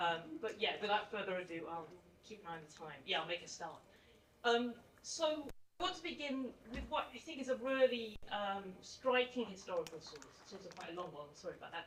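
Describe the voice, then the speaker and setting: A woman with an English accent speaks at a fairly quick pace and a medium pitch. Her pitch swings very widely and her loudness swings a lot, with audible room echo. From England. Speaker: historian, author. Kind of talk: conference talk. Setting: conference stage with audience.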